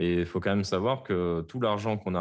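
Very deep, low male voice, pitch varying in an ordinary way. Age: 30s. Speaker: game developer. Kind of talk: interview.

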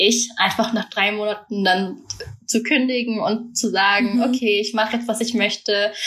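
With noticeable background noise behind her, a woman speaks fairly slowly in a fairly high pitch with ordinary pitch variation. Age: 20s. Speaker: university student. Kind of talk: casual chat.

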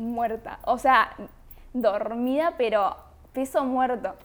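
A high-pitched woman at a fairly slow pace. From Argentina (San Nicolás de los Arroyos, Buenos Aires province). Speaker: podcast guest. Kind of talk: casual chat.

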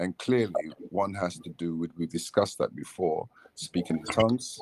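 A man speaks with a Nigerian accent. The sound is dry and close, with no echo. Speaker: church member.

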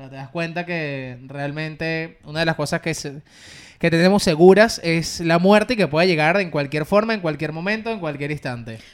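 An unremarkable speaking voice from a man, fairly high in pitch, at a moderate pace, with ordinary pitch variation and big swings in loudness. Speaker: podcast co-host. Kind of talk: casual chat.

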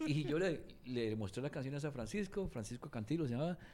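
At a moderate pace, a man with a dark, mellow tone speaks at a medium pitch and makes very wide pitch swings. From Cuba. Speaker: singer-songwriter and record producer. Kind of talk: casual interview.

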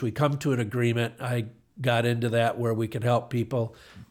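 In a very clean recording with a silent background, a man with an American accent and medium pitch uses a normal speaking voice at a fairly quick pace. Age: 60s. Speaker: retired car dealership owner. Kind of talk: casual interview.

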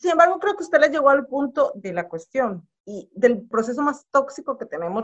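Her pitch swings very widely as this woman talks at a moderate pace. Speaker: podcast co-host. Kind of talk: casual chat.

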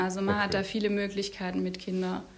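A woman speaks at medium pitch. Audible room echo and noticeable background noise surround her voice. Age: 30s. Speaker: medical student and mother. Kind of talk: interview.

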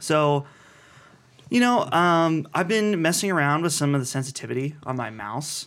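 At a moderate pace, a man with a normal speaking voice and fairly high pitch uses lively intonation on a very clean recording with a silent background. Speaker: podcast host. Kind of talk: casual chat. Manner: joking, chatty.

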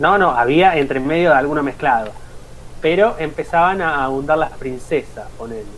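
Fairly high-pitched for a man, an ordinary speaking voice at a moderate pace, with ordinary pitch variation and big swings in loudness. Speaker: podcast co-host, teacher trainee. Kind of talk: casual chat. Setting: live stream.

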